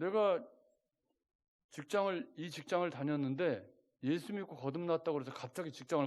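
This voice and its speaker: A fairly high male voice with ordinary variation in pitch. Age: 60s. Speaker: pastor. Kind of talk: sermon. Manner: conversational, rhetorical questions to congregation.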